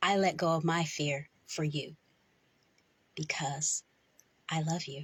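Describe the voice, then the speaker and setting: At a very slow pace, a woman speaks in a gentle, somewhat breathy tone with a very deep, low pitch, flat monotone intonation and long, frequent pauses. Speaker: voice actor. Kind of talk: poetry reading. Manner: slow, gentle.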